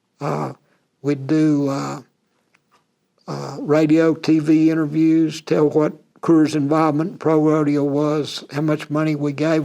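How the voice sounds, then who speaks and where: The voice has a Texan accent and a dark, mellow tone. It moves at a fairly slow pace with monotone, flat intonation. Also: man. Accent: Texan American English. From Texas, USA. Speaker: retired rodeo cowboy and animal health industry worker. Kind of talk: oral history interview answer. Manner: casual, conversational.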